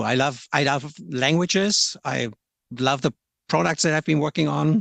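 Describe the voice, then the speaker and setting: A man with a German accent and a fairly high pitch, vocal fry, moderate pace and very even loudness, dry and close with no echo over a quiet background. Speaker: software localisation product manager. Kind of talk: podcast interview. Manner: hesitant, with frequent repetitions.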